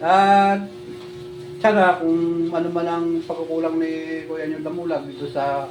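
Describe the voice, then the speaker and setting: A man mumbles at a fairly slow pace in a high pitch, with fairly even intonation and long, frequent pauses. Noticeable background noise and audible room echo surround him. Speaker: vlogger. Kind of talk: casual vlog talk. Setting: handheld camera vlog. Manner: mumbling.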